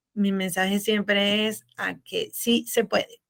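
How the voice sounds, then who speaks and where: In a bright, sharp tone, a woman talks at a very slow pace with a fairly high pitch. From Venezuela. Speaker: business consultant and accountant. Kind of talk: interview.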